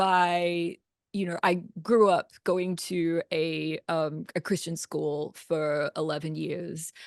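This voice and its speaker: A very slow voice with an Australian accent, in a dry, close sound with no echo and a quiet background. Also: woman. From Australia, Brisbane. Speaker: composer. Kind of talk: podcast interview.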